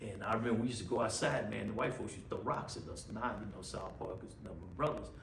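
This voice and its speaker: Amid noticeable background noise and audible room echo, a man talks at a very fast pace with hardly any pauses, ordinary pitch variation and big swings in loudness. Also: medium pitch for a man. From Houston, Texas. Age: 60s. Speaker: pastor. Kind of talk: casual interview, life story. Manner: repetitive, stammering restarts.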